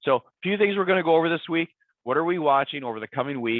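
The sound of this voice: A fast, raspy voice with lively intonation, dry and close with no echo. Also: man, fairly high pitch for a man.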